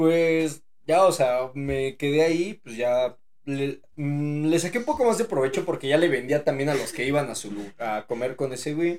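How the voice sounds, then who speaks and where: With a plain, everyday voice, a man speaks at a fairly slow pace in a fairly high pitch with ordinary pitch variation. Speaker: podcast host. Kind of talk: casual chat.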